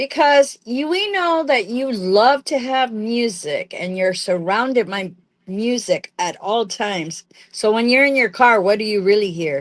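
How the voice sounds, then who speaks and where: An unremarkable speaking voice from a woman, fairly high in pitch, with lively intonation at a fairly slow pace. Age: 60s. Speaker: podcast co-host. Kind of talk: casual chat.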